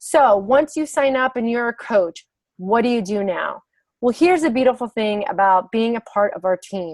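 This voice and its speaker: Loud and high-pitched, a woman speaks at a moderate pace. The sound is dry and close, with no echo. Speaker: fitness business coach. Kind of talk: online sales presentation. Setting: video call. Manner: animated.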